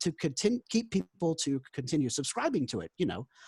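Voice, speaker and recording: This man speaks with an American accent at a fairly quick pace, his pitch swinging very widely. His voice is somewhat breathy, and the sound is dry and close with no echo. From South Carolina. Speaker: job applicant, former newspaper reporter. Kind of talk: job interview.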